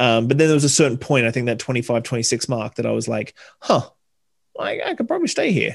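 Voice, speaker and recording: A man speaks with an Australian accent at a fairly quick pace. The background is quiet. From Southeast Queensland, Australia. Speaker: bartender and hospitality consultant. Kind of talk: casual interview chat.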